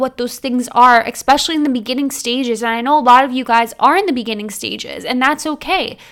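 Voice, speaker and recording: A woman talks at a very fast pace with hardly any pauses, her high-pitched voice animated in tone and showing ordinary pitch variation. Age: 20s. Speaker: podcast host. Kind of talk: casual monologue.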